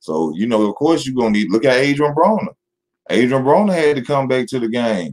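A man talks at a medium pitch. His intonation is lively.

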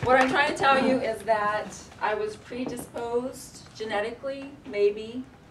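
A woman's fairly high voice in an American accent, fairly slow, with ordinary pitch variation and noticeable background noise. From Oklahoma, US. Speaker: storyteller / performer; storyteller. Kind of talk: storytelling performance. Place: shop. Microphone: camera far.

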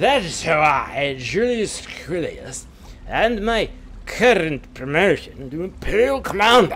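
A man's put-on character voice, high-pitched with very wide pitch swings, at a fairly slow pace against clear background noise. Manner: boasting.

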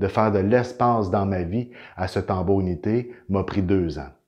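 A man speaks slowly, fairly so, in a Quebec accent, his pitch fairly low. His pitch variation is ordinary, and the background is quiet. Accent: Québécois French. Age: 40s. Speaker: inventor and energy healing practitioner. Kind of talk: inspirational testimony to camera. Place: home room. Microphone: camera far.

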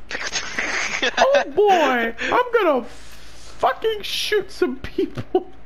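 A put-on character voice speaks at an extremely high pitch and a very slow pace. Loud background noise fills the clip. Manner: cartoonish, violent.

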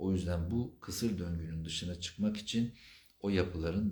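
At a moderate pace, a man with a very deep, low, somewhat breathy voice speaks with fairly even intonation. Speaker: psychotherapist. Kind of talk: live Q&A stream. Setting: livestream.

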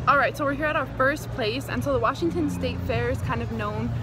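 Loud music plays behind a woman who speaks at a fairly quick pace, the sound dry with no echo. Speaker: vlogger. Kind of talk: casual vlog chat. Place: market. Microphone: phone near.

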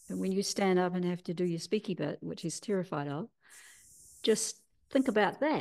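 With a New Zealand accent, a woman speaks at a medium pitch with ordinary pitch variation and long, frequent pauses against a quiet background. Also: moderate pace. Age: 60s. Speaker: healer and teacher; teacher. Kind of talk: interview. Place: home room. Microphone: video call.

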